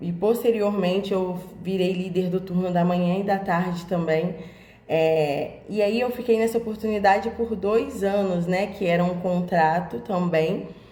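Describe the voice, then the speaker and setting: In a room with audible echo and noticeable background noise, a woman of medium pitch speaks fairly slowly with fairly even intonation. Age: 20s. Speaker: job seeker. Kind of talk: personal career presentation. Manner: hesitant, many fillers.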